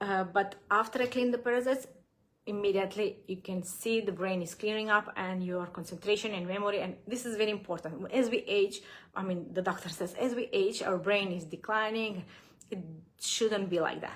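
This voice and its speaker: A woman's medium-pitched, fairly quick speech with fairly even intonation and a non-native accent. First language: not English. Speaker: gut health coach. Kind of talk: live Q&A. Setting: livestream. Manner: halting, many fillers.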